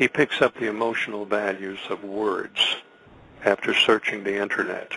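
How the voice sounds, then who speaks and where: A man speaks in a flat monotone at a moderate pace. His pitch is fairly low. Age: 70s. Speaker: radio guest, conspiracy commentator. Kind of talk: radio interview. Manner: earnest, hesitant with repetitions.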